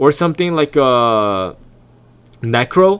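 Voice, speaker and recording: A man with an unremarkable speaking voice uses lively intonation at a medium pitch, recorded very cleanly against a silent background. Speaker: video game guide creator. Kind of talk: tutorial.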